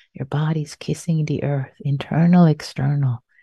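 A woman's very deep, low voice, gentle and dark, mellow in tone, somewhat breathy, at a fairly slow pace. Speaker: meditation teacher. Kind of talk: guided meditation. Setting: online retreat. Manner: soft, slow, gentle, with long pauses; warm, tender, caring.

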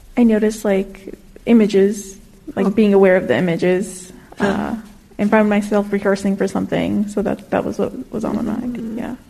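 Fairly even intonation at a moderate pace over noticeable background noise. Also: woman, medium pitch for a woman. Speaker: class participant. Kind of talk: casual sharing. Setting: in-person class with microphone.

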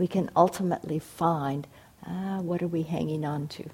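On a very clean recording with a silent background, a woman speaks in a fairly low, somewhat breathy voice with a calm, soothing tone. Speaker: meditation teacher. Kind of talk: guided meditation. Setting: meditation hall with audience. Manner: slow, calm, soothing, gently paced.

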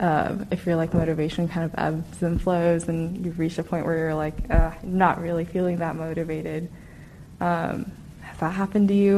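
The delivery keeps a monotone, flat intonation at a moderate pace. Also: woman. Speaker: meditation participant. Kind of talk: group sharing.

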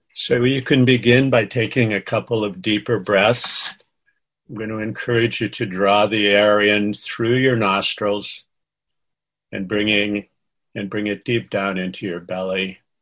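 Over a quiet background, a man with an ordinary speaking voice talks at a fairly slow pace, fairly low in pitch, with fairly even intonation. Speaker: meditation teacher. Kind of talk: guided meditation. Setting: video call. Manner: soft, slow and gentle.

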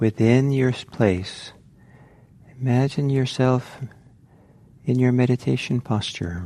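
At a very slow pace with long, frequent pauses, a man of medium pitch speaks in a calm, gentle, dark and mellow tone with ordinary pitch variation. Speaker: meditation teacher. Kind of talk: guided meditation within a dharma talk. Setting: meditation center talk, recorded. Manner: slow, calm, gentle with pauses.

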